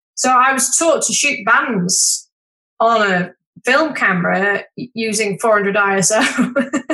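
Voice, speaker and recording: A woman in a Yorkshire accent talks at a very slow pace with a bright, sharp tone. Her pitch is fairly high, with ordinary pitch variation. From Yorkshire, northern England. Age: 50s. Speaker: wedding photographer. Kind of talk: casual chat.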